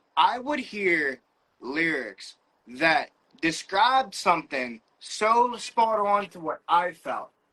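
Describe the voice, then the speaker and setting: Speaking at a very slow pace, a man with an American accent and a high pitch uses a raised, projected voice, bright and sharp in tone, with very wide pitch swings and big swings in loudness. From Western Pennsylvania. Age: 30s. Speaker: rapper. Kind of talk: interview. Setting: livestream. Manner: halting, with fillers and repeats.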